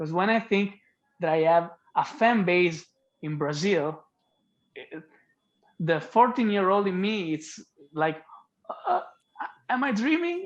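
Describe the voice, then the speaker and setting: A man speaks with an Italian accent in a high voice. His intonation is lively, broken by long, frequent pauses. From Italy. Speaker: singer-songwriter. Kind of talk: interview.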